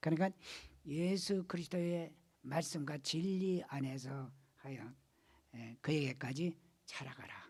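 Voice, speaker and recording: A somewhat breathy man speaking at a fairly slow pace, with ordinary pitch variation, big swings in loudness and long, frequent pauses. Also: fairly high pitch for a man. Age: 80s+. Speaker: pastor. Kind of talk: sermon. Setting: church.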